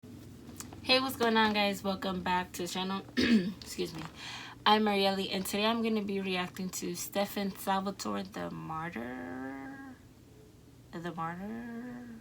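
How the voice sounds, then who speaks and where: In a Dominican accent, a woman speaks at a fairly slow pace. Her medium-pitched voice moves through very wide pitch swings. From Dominican Republic. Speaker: YouTube reaction creator. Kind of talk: casual reaction video talk. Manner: casual, halting with fillers.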